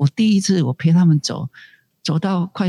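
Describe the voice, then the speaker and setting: A somewhat breathy male voice with a dry, close sound and no echo. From Taiwan, Tainan Annan district. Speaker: community college director. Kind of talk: interview conversation. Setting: remote call.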